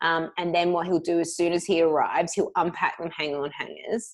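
Against a quiet background, a woman with an Australian accent speaks at a moderate pace. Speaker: podcast co-host. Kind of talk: casual chat.

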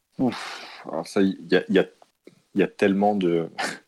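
A man's very deep, low voice at a very slow pace. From West Africa, Côte d'Ivoire and Cameroon. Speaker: entrepreneur. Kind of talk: interview. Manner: halting, many repetitions.

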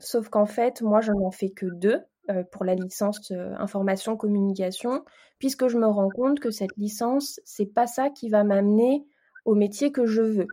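In a very clean recording with a silent background, a woman talks at a fairly slow pace in a dark, mellow tone, her pitch fairly high with ordinary variation. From Paris region, France. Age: 20s. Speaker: communications project manager and baking blogger. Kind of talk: interview testimony.

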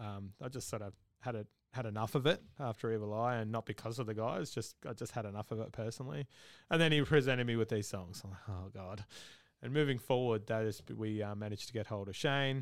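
A man talks at a very fast pace with an Australian accent. The recording is very clean, with a silent background. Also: medium pitch for a man, ordinary pitch variation. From Australia, Victoria. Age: 30s. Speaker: metal band vocalist. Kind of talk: casual interview. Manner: halting, many fillers.

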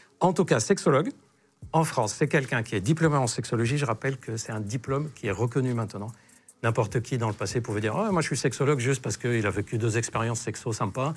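A somewhat breathy man talks very fast at a medium pitch, with ordinary pitch variation. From Lebanon. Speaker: sexologist doctor. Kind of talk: casual interview chat.

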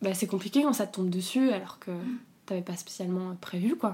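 A woman speaks at a medium pitch and a moderate pace, with ordinary pitch variation. Her tone is dark and mellow, and somewhat breathy. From southern France. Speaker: interviewee sharing abortion experience. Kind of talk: personal testimony. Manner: halting, with many repetitions.

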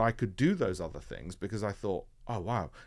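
With a Yorkshire accent, a man talks in a fairly low voice with vocal fry and ordinary pitch variation, on a very clean recording with a silent background. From northern England, Leeds (Yorkshire). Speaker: hedge fund founder. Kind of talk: interview.

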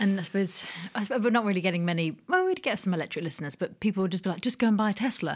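A woman with a medium pitch speaks at a very fast pace. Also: ordinary pitch variation. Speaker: podcast co-host. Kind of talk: casual chat. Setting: studio.

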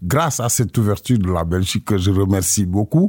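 With a dry, close sound and no echo, a man speaks at a fairly low pitch in a dark, mellow, somewhat breathy tone, with ordinary pitch variation. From Senegal, Casamance. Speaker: musician. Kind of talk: radio interview. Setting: studio. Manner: halting.

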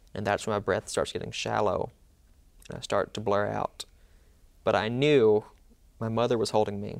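The speaker has a Mississippi accent and a moderate pace, with long, frequent pauses. The recording is very clean, with a silent background. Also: man. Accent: Southern US (Mississippi). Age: 20s. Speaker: law student and medical survivor. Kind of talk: interview, personal testimony.

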